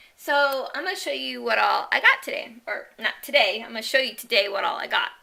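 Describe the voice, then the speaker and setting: A woman speaking at a moderate pace. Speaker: online shopping haul vlogger. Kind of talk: casual product haul video. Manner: halting, many ums and restarts.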